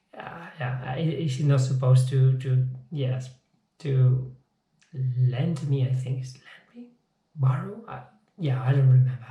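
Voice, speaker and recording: In a room with audible echo, a man with a non-native accent speaks in a dark, mellow, somewhat breathy tone with monotone, flat intonation. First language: not English. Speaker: physics teacher. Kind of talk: informal video lecture. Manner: halting, repeats words.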